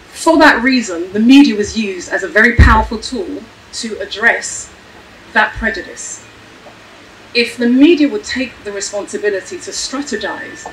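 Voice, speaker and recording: A woman's fairly high voice at a moderate pace, with lively intonation and big swings in loudness, over noticeable background noise. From Ghana. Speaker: panelist. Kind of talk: panel discussion. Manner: animated.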